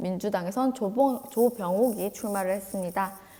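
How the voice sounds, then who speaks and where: At a moderate pace, a woman with a fairly high pitch speaks over noticeable background noise. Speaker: teacher. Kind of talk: lecture.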